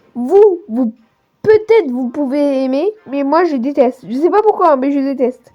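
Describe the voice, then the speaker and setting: Music plays in the background as a woman with a high voice speaks at a fairly slow pace, her intonation lively. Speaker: gaming youtuber. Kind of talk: casual gaming commentary. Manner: halting, many hesitations; improvised. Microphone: phone recording, poor sound.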